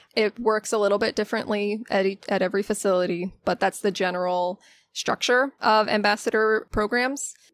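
Heard in a very clean recording with a silent background and a dry, close sound with no echo, an ordinary speaking voice with an American accent moves at a fairly quick pace with fairly even intonation and very even loudness. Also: woman, medium pitch for a woman. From Florida, Pinellas County. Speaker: zookeeper. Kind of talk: casual interview chat.

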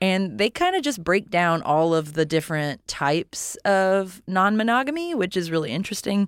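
Using an unremarkable speaking voice, a woman talks at a moderate pace with lively intonation and hardly any pauses, on a very clean recording with a silent background. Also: medium pitch for a woman, very even loudness. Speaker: podcast host. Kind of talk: casual comedic chat.

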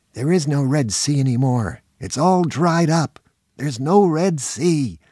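A man's put-on character voice, fairly high in pitch, fairly slow, with lively intonation. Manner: angry, barking.

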